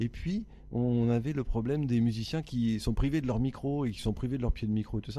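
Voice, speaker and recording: Medium in pitch with ordinary variation, a man's dark, mellow tone moves at a fairly quick pace. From France (Le Havre, Normandy). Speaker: singer-songwriter. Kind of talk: interview.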